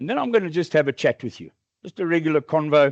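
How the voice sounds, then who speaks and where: Against a quiet background, a man speaks at a fairly quick pace with ordinary pitch variation in a dry, close sound with no echo. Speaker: conference speaker, AI industry executive. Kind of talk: conference talk. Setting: stage with audience. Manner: loud; animated.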